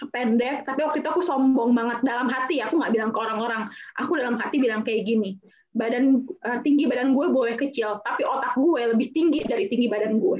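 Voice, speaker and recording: Over noticeable background noise, a woman speaks at a very fast pace in a shrill, high pitch. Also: ordinary pitch variation. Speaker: actress and beauty pageant winner. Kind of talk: talk show panel. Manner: hesitant with fillers.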